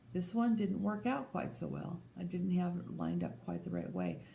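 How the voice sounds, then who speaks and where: There is audible room echo as a woman with an American accent speaks at a fairly slow pace. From Colorado. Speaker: podcast host. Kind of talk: casual chat.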